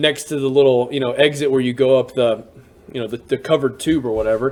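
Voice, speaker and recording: In a Southern US accent, a man with a fairly high pitch talks at a very fast pace in an animated tone. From US South, Alabama (Birmingham suburbs). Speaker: teacher and storyteller. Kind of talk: storytelling monologue. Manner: casual, animated.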